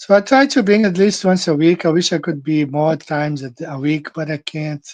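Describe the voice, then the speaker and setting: The pace is moderate. The speaker has a Portuguese accent. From Brazil. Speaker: flat earth show host. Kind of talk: casual monologue. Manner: halting, with many fillers and repetitions.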